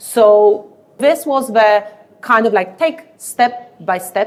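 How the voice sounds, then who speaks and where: A woman speaks in a Polish accent at a medium pitch. Her intonation is lively. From Poland. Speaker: leadership speaker. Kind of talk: podcast interview.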